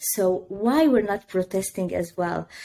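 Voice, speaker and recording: A woman's dark, mellow voice in an Arabic accent, at a fairly slow pace. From northeast Syria. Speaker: news analyst. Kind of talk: interview. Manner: halting.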